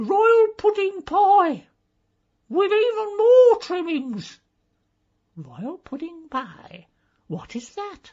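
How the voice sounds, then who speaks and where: Using a put-on character voice, a woman speaks at an extremely high pitch and a very slow pace, with very wide pitch swings and big swings in loudness. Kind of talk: comic aristocratic hauteur. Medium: audio drama. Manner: haughty, clipped.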